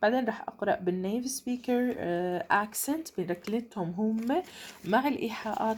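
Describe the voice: The reading is plain reading aloud, and pitch varies in an ordinary way.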